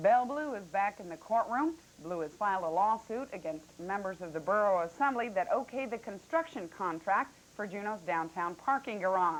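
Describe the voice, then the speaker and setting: An unremarkable speaking voice from a woman with an American accent, medium in pitch with lively intonation, big swings in loudness, hardly any pauses and a moderate pace. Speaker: television news anchor. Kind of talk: local TV newscast anchor read. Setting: 1985 broadcast television recording, Betamax tape.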